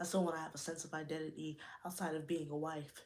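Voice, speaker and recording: A woman's very deep, low voice at a very fast pace, with audible room echo. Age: 20s. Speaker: YouTuber, podcast host. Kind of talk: livestream chat. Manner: animated.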